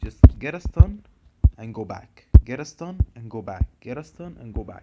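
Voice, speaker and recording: A dark, mellow tone moves at a moderate pace with lively intonation and big swings in loudness. The sound is dry and close, with no echo. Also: man, medium pitch for a man. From Egypt. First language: Arabic. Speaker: gaming video creator. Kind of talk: tutorial.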